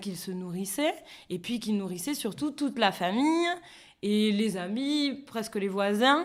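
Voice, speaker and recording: Her pitch swings very widely while she talks at a fairly slow pace. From Béarn, France. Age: 30s. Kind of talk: interview answer.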